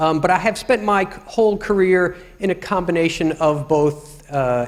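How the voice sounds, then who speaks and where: Noticeable background noise sits behind a man with a New York accent, talking fairly slowly with ordinary pitch variation. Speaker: UX professional. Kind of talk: lecture.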